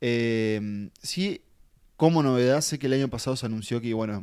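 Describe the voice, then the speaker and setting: A man's medium-pitched voice in a Uruguayan accent, fairly slow, with ordinary pitch variation. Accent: Uruguayan Spanish (Rioplatense). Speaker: film podcast co-host. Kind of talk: casual chat.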